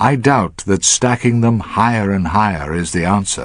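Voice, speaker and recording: Speaking at a fairly slow pace, a man uses a plain, everyday voice with lively intonation. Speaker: broadcaster. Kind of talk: radio essay narration.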